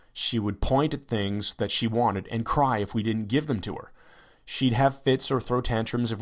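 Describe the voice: This is a plain read-aloud with ordinary pitch variation.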